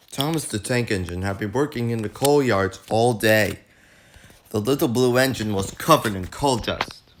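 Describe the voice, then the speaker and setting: This man talks at a moderate pace and medium pitch, with ordinary pitch variation. Noticeable background noise runs beneath him. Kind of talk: read story.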